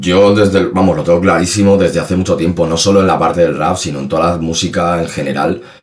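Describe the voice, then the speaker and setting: With a very deep, low pitch and ordinary pitch variation, a man speaks at a very fast pace with hardly any pauses, amid noticeable background noise and audible room echo. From Spain, Salamanca. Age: 30s. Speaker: rapper. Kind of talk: casual interview.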